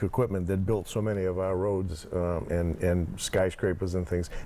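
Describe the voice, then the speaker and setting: This man speaks with a very deep, low pitch and a dark, mellow tone. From Plymouth, Massachusetts. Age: 60s. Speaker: former town selectman, construction equipment owner. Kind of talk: casual interview.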